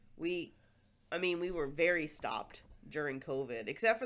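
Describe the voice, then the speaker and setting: A woman with an American accent talks at a fairly quick pace with lively intonation. The recording is very clean, with a silent background. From United States. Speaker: podcast host. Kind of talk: casual chat. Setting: home recording. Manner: loud.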